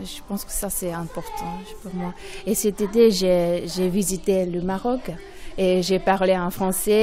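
Delivered at a very slow pace with fairly even intonation, the speech sits over noticeable background noise. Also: woman. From Japan. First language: Japanese (speaking French). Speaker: primary school French teacher. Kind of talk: interview. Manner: halting, many hesitations.

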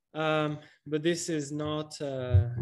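The setting is quiet. A man talks with fairly even intonation. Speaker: economics teacher. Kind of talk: online workshop lecture. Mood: relaxed, laughs.

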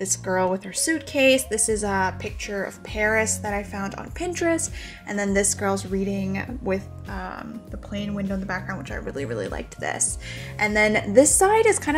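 A woman talks at a moderate pace with big swings in loudness. Clear music plays in the background. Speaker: vlogger. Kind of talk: casual vlog chat. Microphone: phone near.

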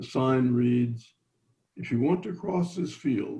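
Somewhat breathy and dark, mellow in tone, a man talks at a fairly slow pace with a medium pitch and ordinary pitch variation. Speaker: engineering professor. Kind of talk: lecture. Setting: video call, audio only.

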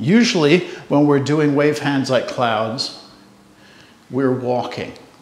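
Audible room echo around a man's fairly slow delivery. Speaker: tai chi instructor. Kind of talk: tutorial. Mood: calm, friendly. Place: home room.

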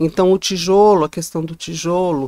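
A woman speaks in a normal speaking voice at a fairly low pitch with fairly even intonation. The sound is dry with no echo, and the background is quiet. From Guarulhos, São Paulo state, Brazil. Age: 60s. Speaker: actress and former teacher. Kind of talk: interview, life story. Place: studio. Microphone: studio mic.

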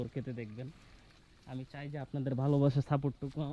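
A man speaks in a fairly high pitch with a dark, mellow tone. His intonation stays monotone and flat. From Bangladesh, Kishoreganj (Bhairab). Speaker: travel vlogger. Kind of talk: casual travel vlog narration. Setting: outdoors in a village.

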